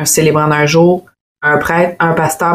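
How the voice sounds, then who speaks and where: A woman in a Quebec accent, fairly low in pitch, at a moderate pace. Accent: Québécois French. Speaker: wedding photographer and videographer. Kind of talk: casual chat.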